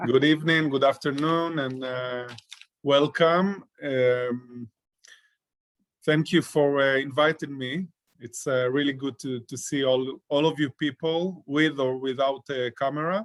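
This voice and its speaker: A man with an Israeli accent speaks at a fairly high pitch. His pace is fairly slow and his intonation fairly even. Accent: Israeli Hebrew-accented English. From Israel, Ashkelon. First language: Hebrew. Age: 40s. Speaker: peace activist. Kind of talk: talk to an online audience. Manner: halting, many fillers.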